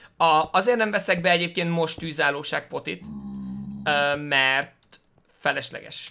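A man talks at a moderate pace and a fairly high pitch while faint music plays in the background. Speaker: gaming streamer. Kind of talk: let's play commentary. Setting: home. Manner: halting.

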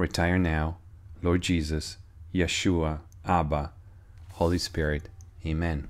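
A man's very deep, low voice, solemn and intense in tone, monotone and flat in intonation, at a very slow pace. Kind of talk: sermon-style prophetic teaching, reading a received prayer message. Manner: earnest, urgent, warning tone; fervent, solemn prayer-like delivery with intense urgent pleas. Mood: solemn, earnest. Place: home room. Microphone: phone near.

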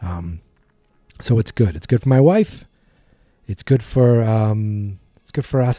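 Music plays in the background, and the sound is dry with no echo. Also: man. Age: 40s. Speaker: podcast host. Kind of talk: casual monologue. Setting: home studio. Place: studio.

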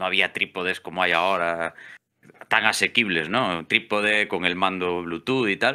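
In a Galician accent, a man with a very deep, low pitch and a bright, sharp tone speaks at a moderate pace with fairly even intonation. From Galicia, Spain. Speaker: electrician and amateur photographer; podcast guest. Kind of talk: casual interview chat; interview answer. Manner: hesitant, many fillers and repeats. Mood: relaxed, conversational. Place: home room. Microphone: studio mic.

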